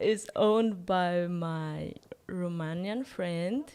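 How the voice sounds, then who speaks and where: A woman talks at a very slow pace. Her medium-pitched voice shows ordinary pitch variation. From Philippines. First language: Tagalog. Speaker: vlogger. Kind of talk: vlog voiceover narration. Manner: hesitant.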